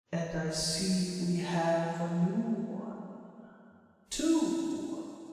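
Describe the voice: With a strong echo around him, a man puts on a breathy character voice, pitched high for a man and delivered at a very slow pace.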